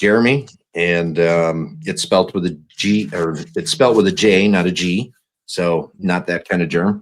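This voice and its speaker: A man's very deep, low voice at a fairly slow pace with ordinary pitch variation. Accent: Wisconsin. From northern Wisconsin. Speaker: new podcast co-host, whiskey enthusiast. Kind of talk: casual chat. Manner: halting, many fillers.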